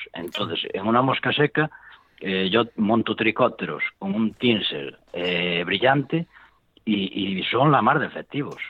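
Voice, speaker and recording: A man talks at a fairly slow pace. His intonation is lively. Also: fairly low pitch for a man. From Galicia, Spain (Ourense). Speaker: professional fly tier. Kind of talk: casual interview. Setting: in person with host.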